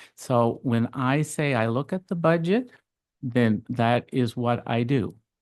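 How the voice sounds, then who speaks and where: In a quiet background with a dry, close sound and no echo, a man speaks at a very slow pace. His pitch is medium, with ordinary pitch variation. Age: 60s. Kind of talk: council meeting debate.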